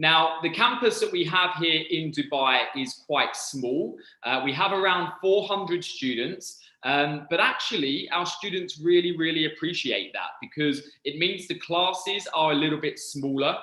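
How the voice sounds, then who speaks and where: With a British accent, a man speaks at a high pitch and a moderate pace, using ordinary pitch variation and hardly any pauses. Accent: very British. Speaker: university recruitment representative. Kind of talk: presentation. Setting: online presentation.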